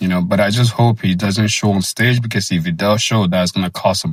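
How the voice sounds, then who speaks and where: A man at a fairly quick pace with monotone, flat intonation. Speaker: bodybuilding commentator. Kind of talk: casual reaction commentary. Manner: hesitant, many fillers.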